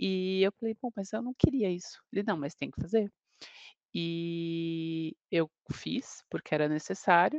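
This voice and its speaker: A woman speaks at a fairly low pitch and a fairly slow pace, in a normal speaking voice with ordinary pitch variation. The sound is dry and close, with no echo. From São Bernardo do Campo, São Paulo, Brazil. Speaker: law professor and lawyer. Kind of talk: casual panel chat.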